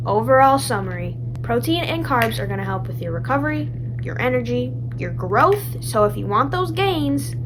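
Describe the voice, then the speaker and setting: A woman talks at a moderate speed while audible room echo and noticeable background noise surround her voice. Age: young. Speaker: lifestyle vlogger. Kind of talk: casual explainer.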